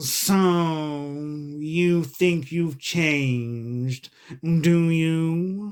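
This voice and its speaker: A put-on character voice sits at a middle pitch. It goes at a very slow pace, broken by long, frequent pauses. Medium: read story. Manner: curt, short remarks.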